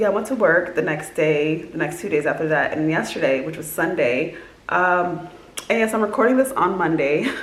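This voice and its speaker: A woman's fairly low voice with lively intonation, plus audible room echo and noticeable background noise. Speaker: vlogger. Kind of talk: casual vlog monologue. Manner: fast; many filler words.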